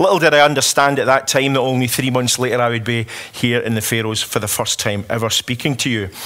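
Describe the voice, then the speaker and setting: A man with a Scottish accent speaks at a fairly quick pace over noticeable background noise. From Scotland. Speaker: politician. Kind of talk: conference speech.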